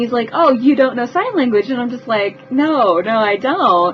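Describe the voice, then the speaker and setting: A woman speaks with a high pitch. Background noise is noticeable. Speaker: vlogger telling personal stories. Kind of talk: storytelling vlog. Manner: animated, with repetitions.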